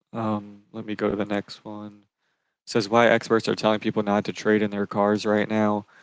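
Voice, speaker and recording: In a very clean recording with a silent background, a man talks in a fairly low, monotone voice with flat intonation and a dry, close sound with no echo. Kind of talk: live stream commentary on news. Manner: fast.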